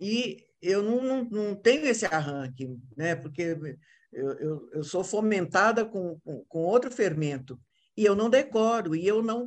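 A woman at a fairly slow pace with very wide pitch swings, over a quiet background. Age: old. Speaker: actress. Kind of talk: casual chat.

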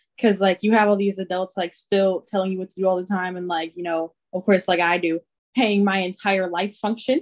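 A woman's medium-pitched voice comes across monotone and flat, in a dry, close sound with no echo. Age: young. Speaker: college student. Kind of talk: casual chat.

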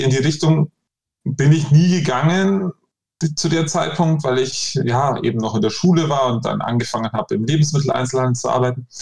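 A man speaks at a moderate pace, somewhat breathy. His pitch varies in an ordinary way. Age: 30s. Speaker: shop owner. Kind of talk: interview.

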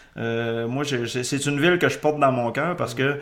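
Room echo can be heard around the voice. The man's pitch varies an ordinary amount. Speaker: podcast host. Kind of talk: casual chat.

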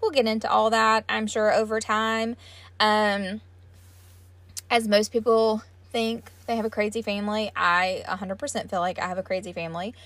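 A woman speaks with a Southern US accent at a moderate pace, her pitch fairly high and her intonation fairly even. The recording is very clean, with a silent background. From US South. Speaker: podcast host. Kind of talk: solo podcast monologue. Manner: casual, many fillers and laughs.

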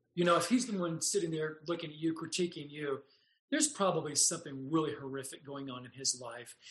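A man with an American accent, a fairly high pitch, ordinary pitch variation, big swings in loudness and a very fast pace. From US West, Los Angeles area. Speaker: podcast host. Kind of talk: casual chat.

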